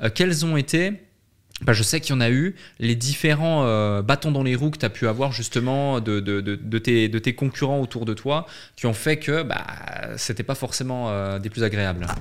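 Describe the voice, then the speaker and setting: With ordinary pitch variation, a man uses an ordinary speaking voice. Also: medium pitch for a man, moderate pace. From French-speaking Switzerland. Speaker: podcast host. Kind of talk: interview.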